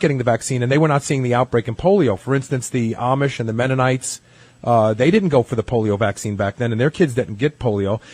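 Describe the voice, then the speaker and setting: A man with a medium-pitched, somewhat breathy voice talks very fast in a dry, close sound with no echo. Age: 50s. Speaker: radio host. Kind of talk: radio interview.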